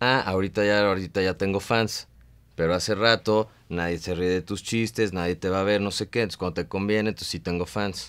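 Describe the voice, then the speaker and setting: A man with a Mexican accent, fairly low-pitched, at a fairly quick pace with fairly even intonation. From Mexico. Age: 30s. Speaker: stand-up comedian. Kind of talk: casual interview. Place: studio.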